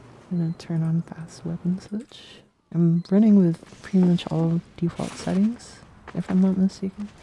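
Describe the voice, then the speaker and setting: Soft-spoken, this woman has a fairly low pitch. She talks in a flat monotone at a moderate pace. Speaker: game developer streamer. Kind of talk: live stream Q&A. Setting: live stream while gaming. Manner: quiet.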